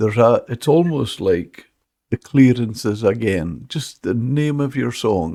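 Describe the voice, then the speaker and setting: A man speaks in a northern Scottish accent at a fairly slow pace. His tone is dark and mellow on a very clean recording with a silent background. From Scotland, Caithness/Sutherland. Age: 70s. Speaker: podcast host, veteran of the fishing industry. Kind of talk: podcast interview. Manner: halting.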